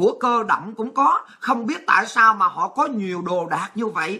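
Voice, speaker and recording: A woman speaks in a bright, sharp tone with a quiet background. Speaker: show host, political commentator. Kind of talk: political commentary monologue. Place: home room. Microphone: phone near.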